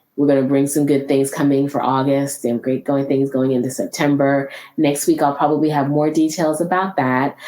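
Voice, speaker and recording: Noticeable background noise sits behind a woman with a very deep, low pitch. She speaks at a moderate pace in a monotone, flat intonation. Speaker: podcast host. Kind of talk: solo podcast talk.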